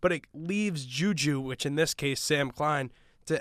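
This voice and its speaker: An ordinary speaking voice, a man's, sits at a fairly high pitch with ordinary pitch variation on a very clean recording with a silent background. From Long Island, New York. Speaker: radio host and play-by-play podcaster. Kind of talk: sports recap podcast chat.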